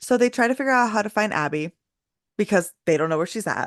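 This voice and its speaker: A woman's animated voice at a fairly quick pace, dry and close with no echo, over a quiet background. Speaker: podcast host. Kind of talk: casual chat. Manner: loud.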